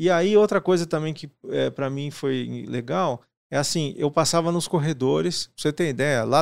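A normal speaking voice with ordinary pitch variation, a moderate pace and hardly any pauses, on a very clean recording with a silent background. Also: man. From Paraná, Brazil. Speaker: IT director and podcaster. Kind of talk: casual interview.

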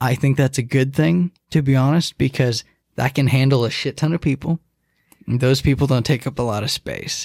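A man with an ordinary speaking voice and an American accent talks at a moderate pace and medium pitch, with ordinary pitch variation, in a dry, close sound with no echo. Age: 20s. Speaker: podcast guest. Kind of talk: casual chat.

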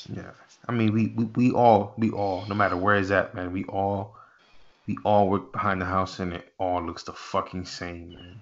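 A man with a fairly low voice, using an ordinary speaking voice. His loudness swings widely, his intonation stays fairly even, and his pace is moderate. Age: 30s. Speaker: podcast host and chef. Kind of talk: casual interview.

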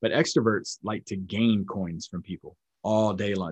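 In an American accent, a man with a fairly low pitch uses an ordinary speaking voice with ordinary pitch variation, and the sound is dry and close with no echo. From North Carolina, US South. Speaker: military instructor and trainer. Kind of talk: lecture and teaching.

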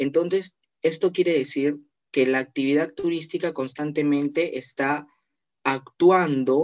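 A man with a plain, everyday voice, fairly high pitch, fairly even intonation and a fairly slow pace. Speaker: tourism graduate, accessibility researcher. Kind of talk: online panel discussion.

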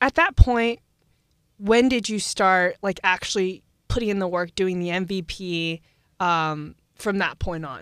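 An unremarkable speaking voice from a woman at medium pitch and a fairly slow pace, with big swings in loudness, recorded very cleanly against a silent background in a dry, close sound with no echo. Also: ordinary pitch variation. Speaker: student podcast host. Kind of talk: interview. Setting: studio.

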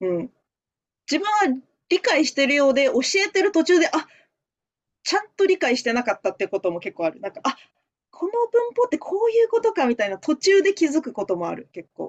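With a Japanese accent, a woman of high pitch talks at a very fast pace yet with long, frequent pauses, her voice showing very wide pitch swings and big swings in loudness in a dry, close sound with no echo. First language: Japanese (speaking Chinese). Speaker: language teacher. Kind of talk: casual chat.

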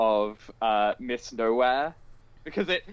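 A man with a British accent at a fairly slow pace, with ordinary pitch variation. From Britain. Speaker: podcast co-host. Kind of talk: casual chat.

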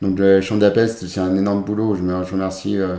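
Heard with audible room echo, a man with a very deep, low pitch and a dark, mellow tone speaks at a moderate pace in a monotone, flat intonation. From France, Chambéry (Savoie). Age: 30s. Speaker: para-athlete, former para swimmer. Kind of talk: interview. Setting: recorded at his home.

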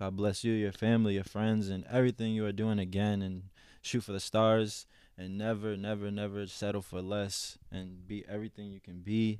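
A man with an American accent, fairly low pitch, monotone and flat intonation and a moderate pace, in a very clean recording with a silent background. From Boston area. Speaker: custom artist. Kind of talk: casual chat.

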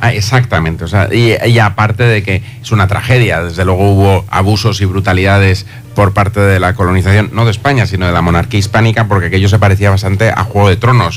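Amid noticeable background noise and audible room echo, a man speaks at a very fast pace with very even loudness and fairly even intonation. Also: fairly low pitch for a man, hardly any pauses. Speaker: university institute director. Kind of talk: radio interview. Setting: radio studio.

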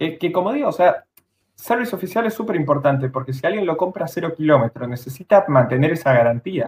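Rattling along at a very fast pace, a man talks at a fairly high pitch with lively intonation. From Argentina, Bariloche (Patagonia). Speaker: car YouTuber. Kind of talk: casual live-stream chat. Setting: home, live stream.

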